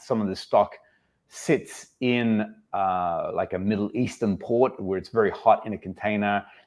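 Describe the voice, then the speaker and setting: Speaking with an Australian accent, a man has a fairly low pitch. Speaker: fragrance channel host. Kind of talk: casual livestream chat. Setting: livestream.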